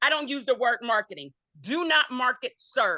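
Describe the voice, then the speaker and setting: Raised and projected, a woman's high-pitched voice comes across bright, sharp and animated at a moderate pace, with ordinary pitch variation and a dry, close sound with no echo. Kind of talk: panel talk.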